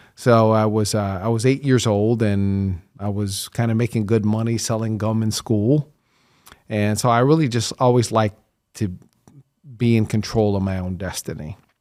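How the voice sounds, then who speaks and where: In a normal speaking voice with an American accent, the speaker talks at a moderate pace with fairly even intonation, in a very clean recording with a silent background. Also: man, fairly low pitch for a man. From US Midwest, Kansas and Chicago area. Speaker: entrepreneur. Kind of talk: interview.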